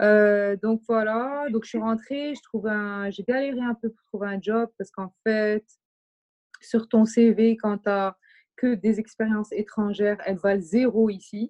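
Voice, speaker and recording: In a plain, everyday voice, a woman talks at a fairly slow pace with a fairly high pitch and fairly even intonation, the sound dry and close with no echo. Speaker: artistic director and fashion brand founder. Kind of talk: casual chat. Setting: remote recording.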